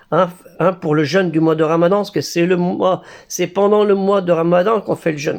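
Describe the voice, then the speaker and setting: This man talks at a fairly quick pace. His pitch is high, with ordinary variation. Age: 60s. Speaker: religious YouTuber. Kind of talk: monologue. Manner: animated; halting.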